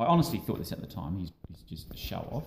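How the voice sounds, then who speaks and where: Speaking with an Australian accent, a man has a dark, mellow tone, a somewhat breathy quality and very wide pitch swings. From Australia, Adelaide. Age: 40s. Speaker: amateur ultra runner. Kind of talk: casual interview.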